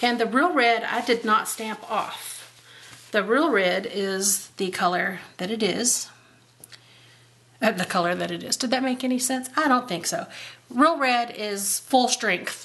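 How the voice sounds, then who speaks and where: A woman's ordinary speaking voice, fairly high in pitch, with ordinary pitch variation and a fairly slow pace. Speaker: card-making crafter. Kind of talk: craft tutorial. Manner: casual, chatty.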